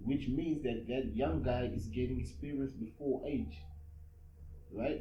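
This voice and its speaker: A man at a medium pitch speaks with very wide pitch swings against noticeable background noise. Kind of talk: casual podcast conversation.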